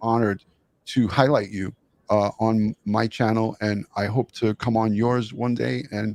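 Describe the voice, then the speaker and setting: A man with a New York accent speaks at a fairly slow pace and a medium pitch. His intonation is fairly even, and the sound is dry and close with no echo. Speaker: retired detective, true crime YouTuber. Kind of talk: live interview. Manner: halting.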